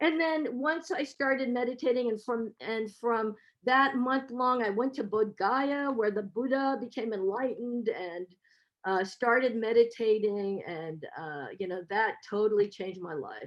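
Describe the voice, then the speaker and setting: A woman in a normal speaking voice with an American accent, fairly high in pitch, with lively intonation at a fairly slow pace. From US, San Francisco. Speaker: professor. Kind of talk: webinar talk.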